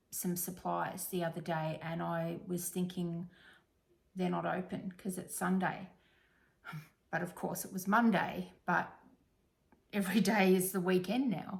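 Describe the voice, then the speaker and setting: With an Australian accent, a woman speaks fairly slowly at a medium pitch, somewhat breathy, with fairly even intonation. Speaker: crafting vlogger. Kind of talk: casual chat. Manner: hesitant, many fillers.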